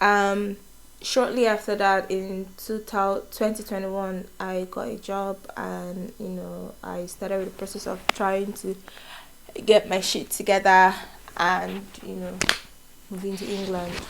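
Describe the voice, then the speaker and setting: A woman with a Nigerian accent speaks at a medium pitch and a fairly slow pace. Her intonation is monotone and flat. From Nigeria, Enugu State. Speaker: vlogger, nurse. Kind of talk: casual get-to-know-me vlog. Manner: casual, hesitant with fillers.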